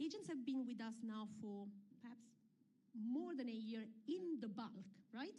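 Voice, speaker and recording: A woman speaks at a moderate pace in a fairly high, dark, mellow voice with lively intonation. Audible room echo surrounds her. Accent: Italian. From Italy. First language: Italian. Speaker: UNESCO representative, panelist. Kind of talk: panel discussion.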